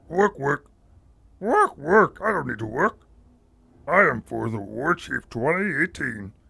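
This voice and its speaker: Using a put-on character voice, a man speaks at a fairly high pitch and a fairly slow pace with long, frequent pauses. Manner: servile, gruff.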